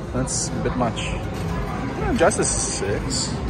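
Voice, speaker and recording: Clear music plays behind a man's voice. The sound is dry, with no echo. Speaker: arcade tour vlogger. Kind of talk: casual tour commentary. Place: hall. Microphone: phone near.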